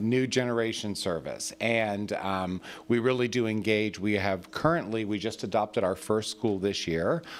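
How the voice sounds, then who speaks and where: A man talks with hardly any pauses. His pitch is fairly low, with ordinary variation. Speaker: civic club president giving a presentation. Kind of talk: public presentation at council meeting. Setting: city council meeting. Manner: fast.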